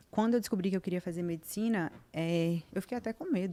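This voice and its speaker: A dark, mellow voice moves at a moderate pace with ordinary pitch variation. Behind it the background is silent, and the recording very clean. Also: woman. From Brazil, Vitória da Conquista, southern Bahia. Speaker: podcast guest, doctor. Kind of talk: casual chat interview.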